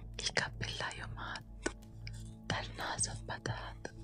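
A woman whispers at a very slow pace with clear music in the background. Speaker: ASMR creator. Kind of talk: relaxing storybook reading. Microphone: studio mic.

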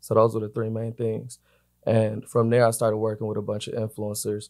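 The voice has a dark, mellow tone. Its intonation is flat and monotone, and the background is quiet. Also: man. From Atlanta, US South. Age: 20s. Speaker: music marketing executive. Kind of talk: interview. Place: studio. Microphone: studio mic.

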